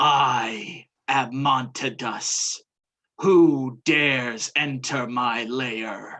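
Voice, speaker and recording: Putting on a character voice, a man speaks at a very slow pace and a medium pitch. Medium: actual play. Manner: imperious, menacing.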